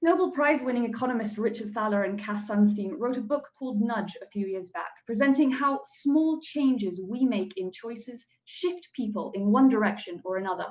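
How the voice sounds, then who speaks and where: A woman's fairly high-pitched voice with lively intonation and hardly any pauses. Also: big swings in loudness. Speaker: student team pitch presenter. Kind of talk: pitch presentation. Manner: fast.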